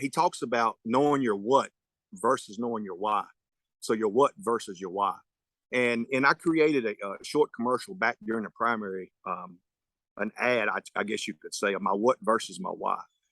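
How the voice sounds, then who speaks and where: With a Southern US accent, a man speaks at a moderate pace in a medium pitch, using lively intonation. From North Carolina, Person County. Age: 40s. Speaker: sheriff candidate, deputy sheriff. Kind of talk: candidate forum closing statement. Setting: virtual forum. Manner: halting.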